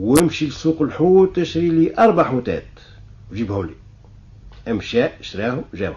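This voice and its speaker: A man with a Tunisian accent talks with very wide pitch swings and long, frequent pauses. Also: fairly high pitch for a man, moderate pace. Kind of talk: folk tale storytelling.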